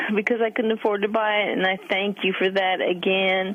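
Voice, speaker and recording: The speaker here is a woman. There is noticeable noise in the background. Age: 60s. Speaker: caller. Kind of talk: radio call-in question. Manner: hesitant, many fillers.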